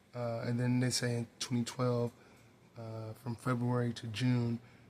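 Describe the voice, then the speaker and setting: A quiet, medium-pitched male voice in a monotone, flat intonation. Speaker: hip-hop commentary youtuber. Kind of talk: casual commentary monologue. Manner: quiet, hushed.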